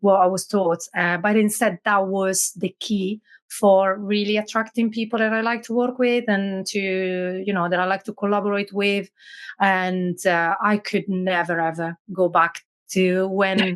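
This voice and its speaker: With an Italian accent, the speaker goes at a fairly slow pace in a monotone, flat intonation. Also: woman, medium pitch for a woman. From Italy, Milan. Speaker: business owner, automation specialist. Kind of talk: podcast interview.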